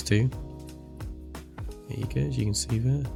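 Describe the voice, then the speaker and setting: Music plays behind a man with a very deep, low voice. His pitch swings very widely. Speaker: gaming video creator. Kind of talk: game review walkthrough narration.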